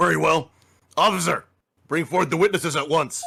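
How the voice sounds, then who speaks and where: In a raspy, put-on character voice, a man talks at a fairly quick pace. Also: fairly high pitch for a man, ordinary pitch variation. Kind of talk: formal courtroom speech. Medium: game stream.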